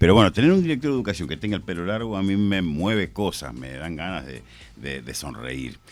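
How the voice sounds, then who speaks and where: Using vocal fry and very wide pitch swings, a man speaks at a fairly quick pace. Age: 60s. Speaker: radio host. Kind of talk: radio interview.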